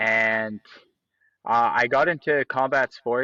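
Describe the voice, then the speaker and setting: With a Canadian accent, a man speaks in an unremarkable speaking voice at a medium pitch, using fairly even intonation and a fairly slow pace. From British Columbia, Canada. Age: 30s. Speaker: MMA fighter. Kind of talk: interview.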